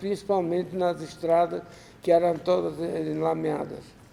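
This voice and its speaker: Someone speaks at a fairly slow pace with noticeable background noise. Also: man. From Ukraine. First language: Russian (speaking Portuguese). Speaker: Holocaust survivor. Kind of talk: lecture. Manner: halting.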